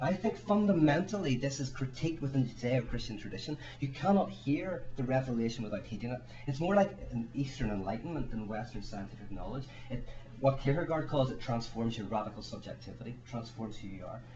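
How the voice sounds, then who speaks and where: A man with a medium pitch and a Northern Irish accent speaks at a very fast pace with audible room echo. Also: lively intonation. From Ireland. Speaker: author and speaker. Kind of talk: panel talk. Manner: halting, repeats words.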